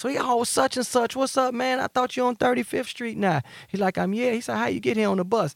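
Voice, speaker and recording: A man talks at a very fast pace in an extremely high pitch, with ordinary pitch variation and a dry, close sound that has no echo. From Chicago South Side, Englewood/Gresham. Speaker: nightlife promoter, former drug dealer. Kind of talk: casual interview, life story.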